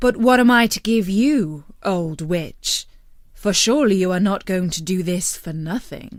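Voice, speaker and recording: A woman uses a put-on character voice with lively intonation. She keeps a moderate pace. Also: medium pitch for a woman. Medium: read story. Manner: brash, cocky.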